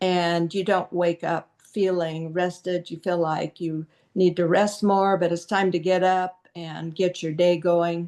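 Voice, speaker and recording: A woman speaks with a dark, mellow tone at a fairly low pitch, in a monotone, flat intonation. Her pace is fairly slow, with hardly any pauses. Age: 70s. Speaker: wellness product presenter. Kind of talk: product presentation.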